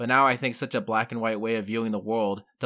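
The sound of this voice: An unforced reading voice carries the whole clip.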